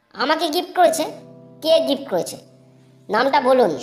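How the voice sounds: A cartoonish character voice moves at a fairly slow pace while faint music plays in the background.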